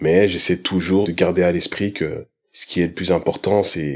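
A man speaks at a fairly slow pace with a very deep, low pitch. His intonation is monotone and flat. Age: 30s. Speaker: film director and photographer. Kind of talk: testimony.

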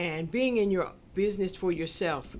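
This woman has an ordinary speaking voice at a medium pitch, with ordinary pitch variation and a fairly slow pace. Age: 60s. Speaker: business owner. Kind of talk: casual chat.

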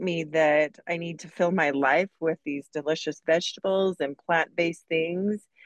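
A plain, everyday voice, this woman's pitch is fairly low with ordinary pitch variation, her pace fairly slow and the sound dry and close with no echo. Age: 40s. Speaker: massage therapist, interview guest. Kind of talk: interview.

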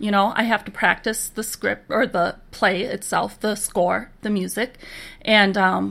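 On a very clean recording with a silent background, a woman with an American accent speaks fairly slowly at a fairly high pitch with vocal fry. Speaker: musician and sign language interpreter. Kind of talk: casual interview chat.

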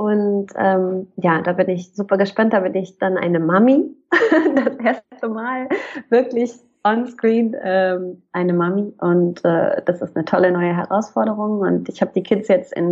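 The woman has an unremarkable speaking voice at medium pitch. Her pace is moderate, with ordinary pitch variation. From northern Germany, Hamburg. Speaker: actress and voice actor. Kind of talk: casual interview chat.

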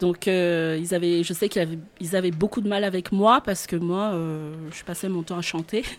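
A woman with a plain, everyday voice speaks at a moderate pace, her pitch fairly low and her intonation fairly even. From Madagascar, central highlands. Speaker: singing teacher and voice coach. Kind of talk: radio interview. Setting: radio studio.

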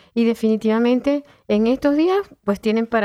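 A woman talks in an unremarkable speaking voice, fairly high in pitch. Her pitch varies in an ordinary way, and her pace is moderate. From Venezuela, Caracas. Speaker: volunteer radio presenter and craft entrepreneur. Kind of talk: radio interview.

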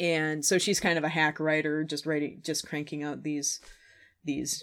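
A woman with a slight Minnesotan accent, very deep and low in pitch, flat monotone intonation, fairly slow pace, on a very clean recording with a silent background. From Minnesota, Twin Cities, US. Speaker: podcast host. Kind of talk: casual chat over wine. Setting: basement, in person with co-host.

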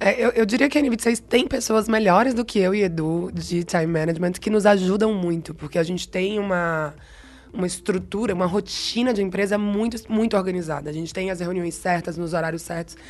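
Here a woman speaks with a Bahian accent. Her pace is fairly quick. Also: medium pitch for a woman, ordinary pitch variation. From Bahia, Brazil. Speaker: marketing head. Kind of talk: interview conversation.

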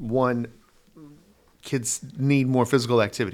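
A man with an American accent and an unremarkable speaking voice, at a medium pitch and a moderate pace. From Denver, Colorado. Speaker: dance instructor. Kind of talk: casual interview.

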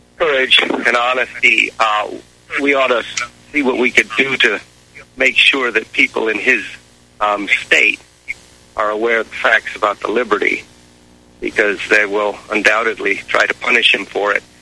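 Noticeable background noise sits behind a man speaking at a moderate pace and medium pitch. His intonation is fairly even, and he leaves long, frequent pauses. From Hawaii. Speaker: caller.

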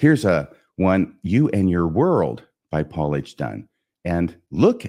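A man's very deep, low voice with vocal fry and a dark, mellow tone, lively intonation, a very slow pace and a quiet background. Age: 60s. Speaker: podcast host. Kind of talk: solo podcast lesson.

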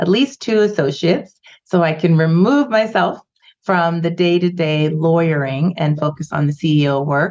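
With a Canadian accent and an ordinary speaking voice, a woman talks at a moderate pace and fairly low pitch, her loudness very even and her intonation lively. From Canada, Vancouver. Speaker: immigration lawyer. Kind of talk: interview.

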